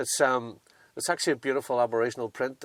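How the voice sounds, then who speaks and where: A man with a Northern Irish accent and fairly even intonation, dry and close with no echo, on a very clean recording with a silent background. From Northern Ireland. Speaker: 4WD owner showing his vehicle. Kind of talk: casual chat. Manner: hesitant, many fillers.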